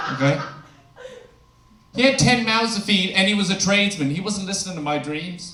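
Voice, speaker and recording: A man's high-pitched, raised, projected voice at a fairly quick pace with long, frequent pauses and ordinary pitch variation, amid noticeable background noise and audible room echo. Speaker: stand-up comedian. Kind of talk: stand-up. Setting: stage with audience.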